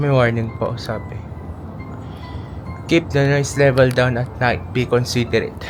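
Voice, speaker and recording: Music plays in the background and audible room echo surrounds a man speaking at medium pitch and a moderate pace. He leaves long, frequent pauses and keeps his intonation fairly even. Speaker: travel vlogger. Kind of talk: vlog narration. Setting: outdoors. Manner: soft-spoken.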